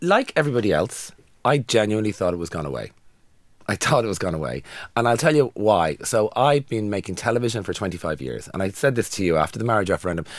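Speaking very fast with a Dublin accent, a man with a fairly low pitch and vocal fry makes very wide pitch swings, recorded very cleanly against a silent background. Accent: Dublin Irish. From Ireland, Dublin. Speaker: podcast co-host. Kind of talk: casual chat.

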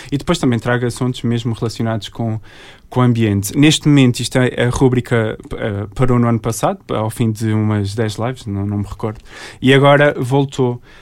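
At a moderate pace, a man talks with fairly even intonation in an ordinary speaking voice at medium pitch. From Azores, Portugal (Terceira and São Miguel). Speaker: environmental engineer and social media creator. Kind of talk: interview.

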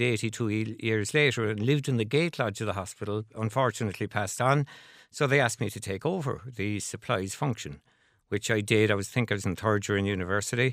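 A man with a Cork accent at medium pitch, in a very clean recording with a silent background. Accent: Cork Irish. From Ireland, Cork City. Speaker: company chairman. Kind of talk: radio interview. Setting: radio studio. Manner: halting.

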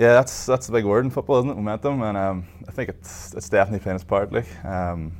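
A man talks fast in a fairly low voice. His intonation stays fairly even.

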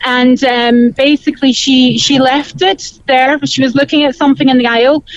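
Speaking at a moderate pace, a woman with a high voice is heard in a dry, close sound with no echo. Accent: Cork. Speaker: caller. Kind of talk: phone-in chat.

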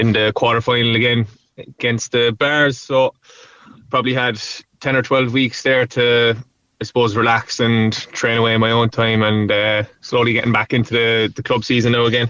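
A man in a Cork accent at medium pitch and moderate pace, flat and monotone in intonation, with very even loudness. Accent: Cork Irish. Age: 20s. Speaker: hurler. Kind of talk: interview.

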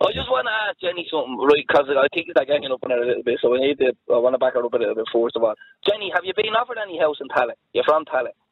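A man speaks with a Dublin accent. His pace is very fast. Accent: Dublin Irish. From Dublin, Ireland. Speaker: caller. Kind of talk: phone-in debate. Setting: phone call.

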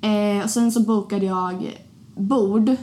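This woman talks very slowly. There is some breathiness in her voice. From Sweden, Linköping (small town). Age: 20s. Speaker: podcast host. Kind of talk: casual chat.

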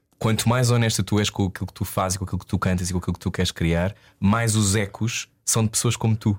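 A man with an unremarkable speaking voice talks at a fairly quick pace in a fairly low pitch, on a very clean recording with a silent background. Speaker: radio host. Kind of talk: interview.

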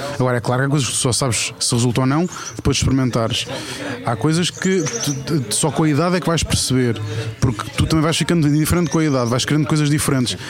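Over noticeable background noise, a man with a fairly high pitch talks at a very fast pace with very even loudness. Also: ordinary pitch variation. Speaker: food-loving TV writer and personality. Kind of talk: casual chat over lunch. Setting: restaurant, recorded outdoors.

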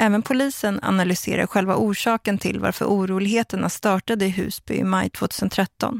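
In an ordinary speaking voice, a woman talks at a moderate pace and medium pitch, the sound dry and close with no echo. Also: fairly even intonation. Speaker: documentary narrator. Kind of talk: scripted narration.

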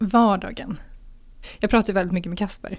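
A woman at medium pitch, on a very clean recording with a silent background. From Sweden, Gothenburg. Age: 40s. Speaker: single being interviewed, communications strategist. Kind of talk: casual interview. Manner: hesitant, filler-heavy.

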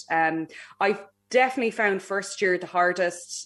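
On a very clean recording with a silent background, a woman with an Irish accent speaks at a moderate pace. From Ireland. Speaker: aeronautical engineer and astronaut candidate. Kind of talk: interview. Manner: hesitant, many fillers.

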